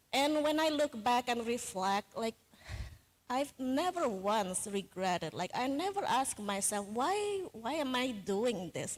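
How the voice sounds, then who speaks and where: At a fairly slow pace, a woman speaks in a high voice with very wide pitch swings over noticeable background noise. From Indonesia. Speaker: software engineer, conference keynote speaker. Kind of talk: keynote talk.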